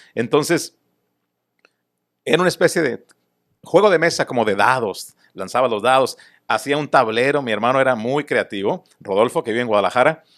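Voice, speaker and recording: Lively intonation marks this man's medium-pitched speech, broken by long, frequent pauses. The recording is very clean with a silent background. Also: moderate pace. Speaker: baseball broadcaster, guest being interviewed. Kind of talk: interview answer, recounting childhood.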